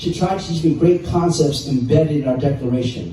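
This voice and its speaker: A man with an American accent at a fairly quick pace and ordinary pitch variation, with audible room echo and noticeable background noise. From southern California, Los Angeles area. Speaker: public speaker. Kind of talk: talk to an audience with Q&A. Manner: conversational, with fillers and repetitions.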